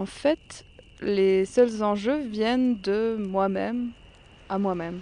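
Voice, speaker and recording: Her voice sits fairly high for a woman and has a dark, mellow tone. Her pitch varies in an ordinary way. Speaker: documentary podcaster. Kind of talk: scripted narration.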